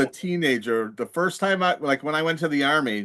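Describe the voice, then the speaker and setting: With a normal speaking voice, a man delivers lively intonation at a fairly high pitch, keeping to a moderate pace. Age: 60s. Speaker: podcast co-host, army veteran. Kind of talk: casual chat.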